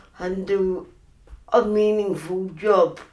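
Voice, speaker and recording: In a room with audible echo, a woman speaks at a very slow pace with a medium pitch. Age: 60s. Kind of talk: testimony.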